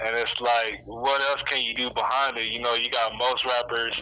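At a moderate pace, a man with an American accent, medium pitch and fairly even intonation speaks over noticeable background noise. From Texas, Lubbock. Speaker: rapper. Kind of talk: interview. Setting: phone call. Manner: halting, many fillers.

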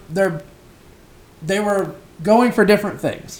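A man with a Southern US accent, at a fairly slow pace. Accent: US South. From rural South Carolina. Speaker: student podcast host. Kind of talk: casual interview.

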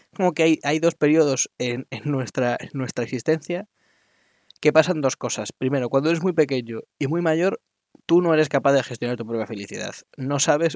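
The sound is dry and close, with no echo. A man talks at a moderate pace in a fairly high pitch with ordinary pitch variation. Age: 20s. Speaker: podcaster. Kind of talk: solo monologue. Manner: halting.

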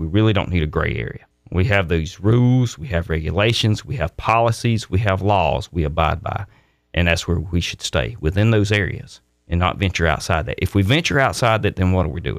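A man's very deep, low voice with lively intonation and a Mississippi accent, on a very clean recording with a silent background. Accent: Southern US (Mississippi). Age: 50s. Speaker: political candidate, military retiree. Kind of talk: radio interview.

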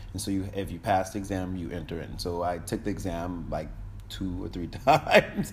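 Vocal fry marks this man's very deep, low voice, which has ordinary pitch variation and a moderate pace. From Connecticut, US. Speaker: diplomat. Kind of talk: casual interview.

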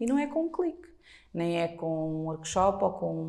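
Using a dark, mellow tone, a woman speaks with very wide pitch swings. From Portugal. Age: 40s. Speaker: blogger. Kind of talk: casual interview.

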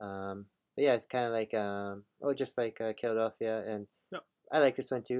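In a dry, close sound with no echo, a man with an ordinary speaking voice talks at a medium pitch and moderate pace, his intonation fairly even. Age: 40s. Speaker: comic book podcast co-host. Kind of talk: casual chat.

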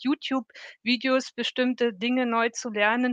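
Against a quiet background, a woman speaks very slowly at a fairly high pitch. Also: dry, close sound with no echo. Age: 50s. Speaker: corporate employee in a self-learning network. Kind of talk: interview. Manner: animated.

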